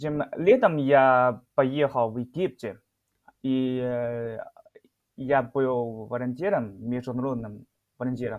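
A man with a Chinese accent speaks at a very slow pace, with long, frequent pauses. His pitch is medium, with ordinary variation. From northeast China, Shenyang. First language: Chinese (speaking Russian). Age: 20s. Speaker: chemistry PhD student, Chinese teacher. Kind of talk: interview. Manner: halting.

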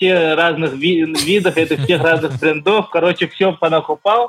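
A man's high-pitched voice with fairly even intonation, over noticeable background noise. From Yakutia, Russia (rural village). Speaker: skyrunner. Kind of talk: interview.

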